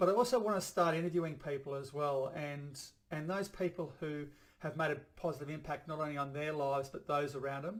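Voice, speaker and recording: A man with an Australian accent, fairly high in pitch, at a fairly quick pace with ordinary pitch variation. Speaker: chiropractor and vlogger. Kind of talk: personal video blog monologue. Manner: halting, stumbles over words; fast.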